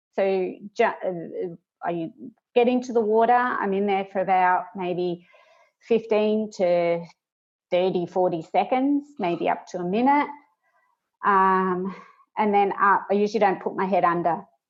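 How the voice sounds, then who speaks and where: Speaking fairly slowly, a woman with an Australian accent has a medium pitch and ordinary pitch variation. She leaves long, frequent pauses. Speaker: project manager and instructional designer. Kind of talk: casual interview.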